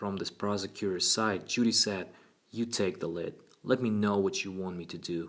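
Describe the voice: Reading aloud, plain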